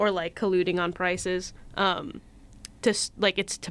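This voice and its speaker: An ordinary speaking voice moves at a moderate pace with fairly even intonation on a very clean recording with a silent background. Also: woman. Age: 20s. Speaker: podcast guest, baseball fan. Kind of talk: casual chat.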